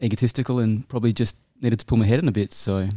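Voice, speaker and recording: With a New Zealand accent, a man talks at a fairly quick pace and fairly low pitch. His tone is dark and mellow, his intonation fairly even. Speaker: winemaker. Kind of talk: interview. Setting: winery.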